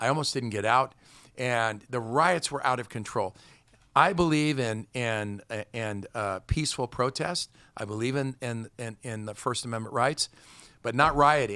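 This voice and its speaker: On a very clean recording with a silent background, a man speaks in a medium pitch with an American accent. His tone is bright and sharp, his pace moderate and his pitch variation ordinary. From California. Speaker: political candidate. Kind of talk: political interview. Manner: halting with frequent repetitions.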